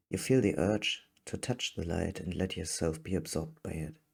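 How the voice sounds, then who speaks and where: This man's voice has a very deep, low pitch. Vocal fry runs through it. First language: not English. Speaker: fiction writer and reader. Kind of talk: reading aloud.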